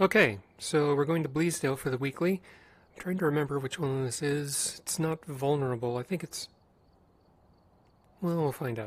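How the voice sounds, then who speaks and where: A man's somewhat breathy voice at a fairly high pitch, moderate pace and ordinary pitch variation, broken by long, frequent pauses. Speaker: gaming streamer. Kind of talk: gameplay commentary.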